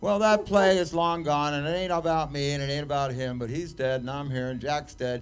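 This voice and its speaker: A man with a fairly high voice talks at a fairly quick pace, with hardly any pauses and ordinary pitch variation. Music plays in the background, and room echo is audible. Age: 60s. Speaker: cannabis activist. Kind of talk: casual chat. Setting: stage with audience. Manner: rambling, animated.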